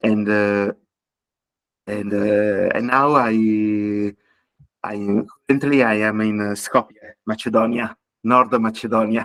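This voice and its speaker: With an Italian accent, a man speaks very slowly in a fairly low, monotone, flat voice, leaving long, frequent pauses. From Italy. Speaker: entrepreneur, digital nomad. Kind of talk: self-introduction on video call. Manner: halting.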